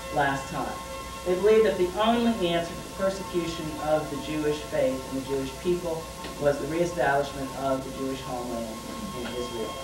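The man talks at a moderate pace. Clear music can be heard behind him. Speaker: lecturer. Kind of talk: lecture. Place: classroom. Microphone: old recording.

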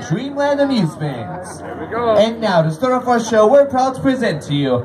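The pace is moderate. Noticeable background noise is present. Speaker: circus announcer. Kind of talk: show announcement. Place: street.

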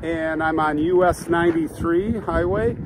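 The sound is dry, with no echo, and background noise is noticeable. The pitch varies in an ordinary way. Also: man. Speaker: vlogger. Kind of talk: casual vlog chat. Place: open country. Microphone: phone near.

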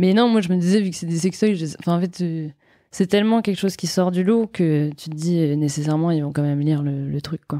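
Over a silent background in a very clean recording, a woman talks fairly quickly in a fairly low pitch with ordinary pitch variation and an ordinary speaking voice. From France, Brittany (Vannes). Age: 20s. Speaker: entrepreneur, founder of women's wellness brand. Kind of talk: casual interview.

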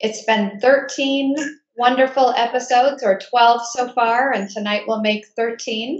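A woman's high voice at a very slow pace, fairly even in intonation, with audible room echo over a quiet background. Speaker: enrollment director moderating webinar. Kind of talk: webinar moderation. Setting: video call webinar. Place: home room. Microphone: webcam.

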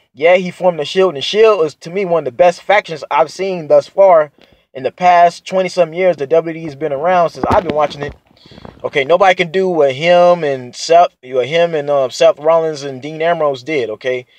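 The sound is dry with no echo as a man talks at a fairly quick pace. His loudness swings widely, while his pitch varies in an ordinary way. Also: quiet background. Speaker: wrestling fan vlogger. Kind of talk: casual vlog chat. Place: car. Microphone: phone near.

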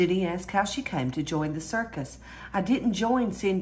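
A passage in plain reading aloud.

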